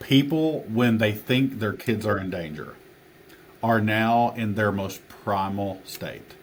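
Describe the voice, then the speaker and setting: Here is a man with an Appalachian accent and a fairly low pitch. He talks at a very slow pace with ordinary pitch variation. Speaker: teacher and author. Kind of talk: podcast interview answer.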